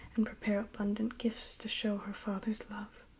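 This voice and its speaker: A soft-spoken woman whispers at a moderate pace, her voice somewhat breathy. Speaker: ASMR reader. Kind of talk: poetry reading of epic text. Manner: whispered, soft-spoken.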